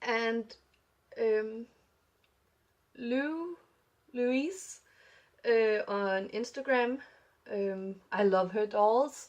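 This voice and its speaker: Mumbled speech comes at a very slow pace with long, frequent pauses and ordinary pitch variation against a quiet background. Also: woman, fairly high pitch for a woman. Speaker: doll hobby vlogger. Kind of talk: casual vlog chat. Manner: mumbling, many fillers.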